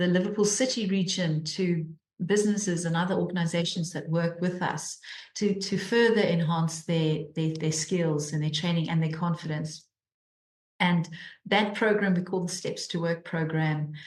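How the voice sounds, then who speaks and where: A woman with a South African accent speaks at a moderate pace and a fairly low pitch. Her voice is somewhat breathy, with fairly even intonation. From South Africa, Cape Town. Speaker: charity mission director. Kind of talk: interview. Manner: repeats words often, halting.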